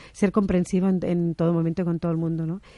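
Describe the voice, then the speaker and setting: A woman speaks with a Catalan accent in a fairly low, dark, mellow voice. Her intonation is monotone and flat. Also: quiet background. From Barcelona, Catalonia. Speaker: interview guest. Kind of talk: radio interview.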